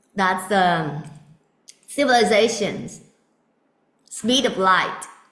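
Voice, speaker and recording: A woman's medium-pitched voice at a very slow pace, lively in intonation, with audible room echo. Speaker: spiritual teacher. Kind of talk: spiritual talk. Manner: loud.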